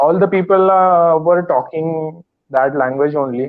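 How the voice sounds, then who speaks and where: A man with a Marathi accent speaks at a fairly high pitch with fairly even intonation. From India, Maharashtra. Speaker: English learner. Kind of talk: casual chat. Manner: halting.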